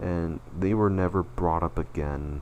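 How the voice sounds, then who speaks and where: There is vocal fry in this man's speech. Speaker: animator and channel owner. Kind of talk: personal retrospective presentation. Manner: slurred words; halting, self-correcting.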